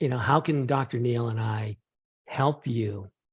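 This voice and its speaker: A man's medium-pitched, somewhat breathy voice with fairly even intonation. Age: 60s. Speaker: PhD scientist. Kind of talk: interview.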